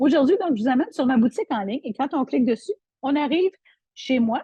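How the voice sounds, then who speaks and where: The sound is dry and close with no echo as a woman speaks with lively intonation. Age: 60s. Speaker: online seller. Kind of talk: product tutorial. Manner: halting, many repetitions and fillers.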